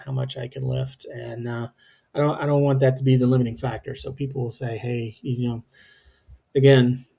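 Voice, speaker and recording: A man with a somewhat breathy, dark, mellow tone speaks at medium pitch and a fairly quick pace in monotone, flat intonation. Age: 50s. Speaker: home gym lifter. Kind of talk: workout voice-over narration. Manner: casual, hesitant, many fillers.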